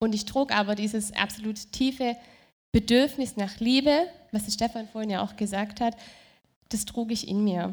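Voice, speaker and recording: A somewhat breathy woman with a fairly high pitch talks at a moderate pace, leaving long, frequent pauses and keeping a fairly even intonation, on a very clean recording with a silent background. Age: young. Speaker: churchgoer giving testimony. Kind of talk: testimony. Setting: stage with audience.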